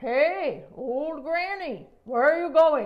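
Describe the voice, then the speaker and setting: Using a put-on character voice, a woman talks at a very slow pace with a high pitch. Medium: read story. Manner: insistent, knowing.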